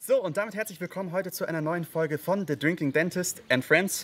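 A man talks at a fairly quick pace with ordinary pitch variation over light background noise. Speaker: bartender host. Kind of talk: tutorial. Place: garden. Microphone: studio mic.

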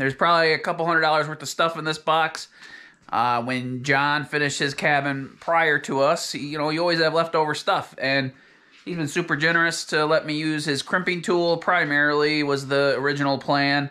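His delivery comes fairly quickly from a man. The intonation stays flat and monotone. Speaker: off-grid cabin builder vlogger. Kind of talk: casual vlog chat. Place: home room. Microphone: phone near.

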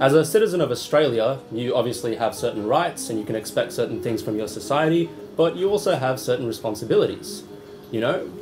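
Clear music sits in the background as a man speaks at a fairly quick pace. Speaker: presenter. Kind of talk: presentation.

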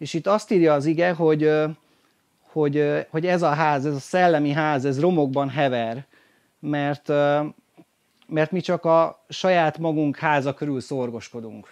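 The man speaks fairly slowly, with long, frequent pauses and fairly even intonation. His pitch is fairly high, and the background is quiet. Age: 20s. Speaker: lay preacher. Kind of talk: sermon. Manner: halting. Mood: earnest, encouraging. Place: tent. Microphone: handheld.

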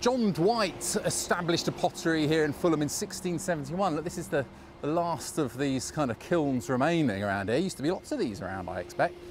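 A fairly high-pitched man with lively intonation, few pauses and faint background noise. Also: fairly quick pace.

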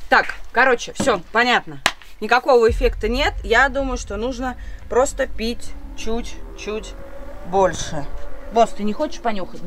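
Amid light background noise, a woman with a high pitch talks at a fairly slow pace, leaving long, frequent pauses. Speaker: vlogger. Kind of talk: casual vlog chat. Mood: playful, mildly grimacing. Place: garden. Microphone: phone near.

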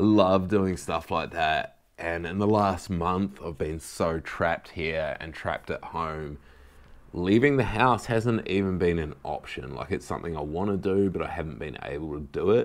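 This man has a very deep, low pitch. His pitch variation is ordinary. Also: moderate pace. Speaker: vlogger. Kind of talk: casual vlog chat. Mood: earnest, emotional. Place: home room. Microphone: camera far.

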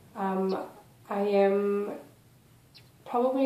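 Audible room echo and noticeable background noise around a woman speaking. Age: 20s. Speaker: vlogger. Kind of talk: casual vlog. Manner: quiet.

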